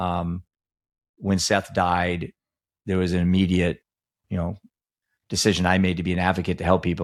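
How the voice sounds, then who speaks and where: A man with a very deep, low pitch talks at a fairly quick pace in a flat monotone. He takes long, frequent pauses on a very clean recording with a silent background. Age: 60s. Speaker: grieving father and recovery advocate. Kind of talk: casual chat.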